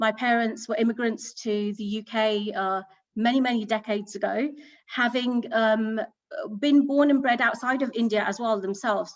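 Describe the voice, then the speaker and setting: A woman with a British accent speaks in a fairly high pitch at a moderate pace. Her intonation is fairly even, and the background is quiet. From southern England, Hampshire. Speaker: business executive. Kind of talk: panel talk. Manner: hesitant, many fillers.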